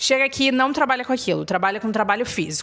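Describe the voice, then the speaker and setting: Lively in intonation, a woman speaks at a high pitch. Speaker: YouTuber, expat life vlogger. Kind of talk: casual vlog talk to camera.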